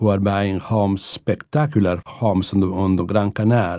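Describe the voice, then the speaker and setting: A man with a fairly low voice speaks with an Italian accent. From Italy. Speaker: professor and author. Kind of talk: interview.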